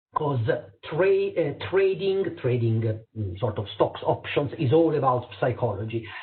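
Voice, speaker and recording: Speaking with an Italian accent, a man at a medium pitch moves at a fairly slow pace while his pitch swings very widely. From Italy. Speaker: eye surgeon and lecturer. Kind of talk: lecture. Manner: halting, many fillers.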